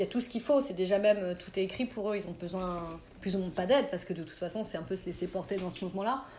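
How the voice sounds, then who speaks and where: At a very fast pace, a woman sounds somewhat breathy and uses ordinary pitch variation. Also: medium pitch for a woman. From Burgundy, France (near Auxerre). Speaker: skateboard industry agent. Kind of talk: interview.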